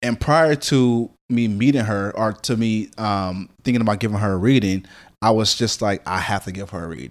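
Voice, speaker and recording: This is a plain, everyday voice at a moderate pace with ordinary pitch variation. The recording is very clean, with a silent background. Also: man. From US, moved around (born Los Angeles). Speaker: psychic medium. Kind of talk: casual chat.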